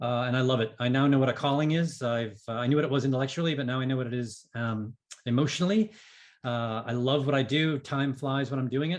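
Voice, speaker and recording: Talking at a very fast pace, a man with a Boston accent uses a medium pitch and ordinary pitch variation. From New England (Boston area). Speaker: business coach and author. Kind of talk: podcast interview.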